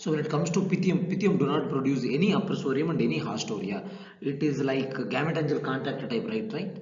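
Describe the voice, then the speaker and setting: At a fairly quick pace, a man with a fairly high pitch talks amid noticeable background noise and audible room echo. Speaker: assistant professor lecturing on plant pathology. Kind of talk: lecture. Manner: fast; hesitant, many fillers.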